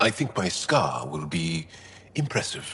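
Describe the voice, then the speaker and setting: Using a put-on character voice, a man speaks very deep and low at a fairly slow pace. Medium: game stream. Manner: warm, good-humored.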